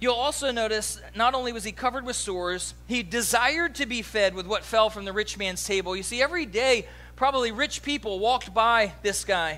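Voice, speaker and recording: A man's raised, projected voice, high-pitched and bright and sharp in tone, with an American accent, at a fairly quick pace with hardly any pauses. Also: ordinary pitch variation. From US East Coast. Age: 40s. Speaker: pastor. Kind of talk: sermon.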